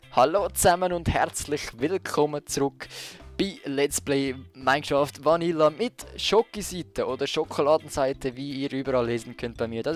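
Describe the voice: Ordinary pitch variation in a Swiss accent, with music in the background. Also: man, fairly high pitch for a man, moderate pace.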